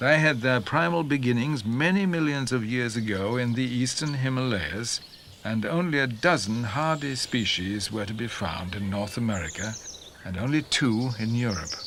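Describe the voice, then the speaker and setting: Lively intonation marks a man's medium-pitched voice at a moderate pace. Noticeable background noise can be heard. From Yorkshire. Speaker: narrator. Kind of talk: documentary narration.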